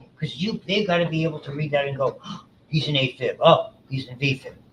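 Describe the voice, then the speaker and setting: Over noticeable background noise, a man talks with an American accent and ordinary pitch variation. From New York City area. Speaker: college biology instructor. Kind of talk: lecture. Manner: fast.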